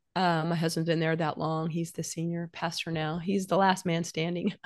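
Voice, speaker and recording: Against a quiet background, a woman with an unremarkable speaking voice talks at a moderate pace with a fairly low pitch. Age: 60s. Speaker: novelist. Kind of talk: casual chat.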